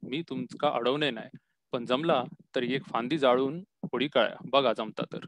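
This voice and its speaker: The sound is dry and close, with no echo. A man talks at medium pitch with ordinary pitch variation. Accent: Konkan. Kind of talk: story reading.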